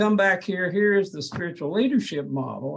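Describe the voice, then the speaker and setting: This man's voice is somewhat breathy. He talks at a moderate pace, and his pitch varies in an ordinary way. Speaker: professor. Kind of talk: academic presentation. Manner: halting.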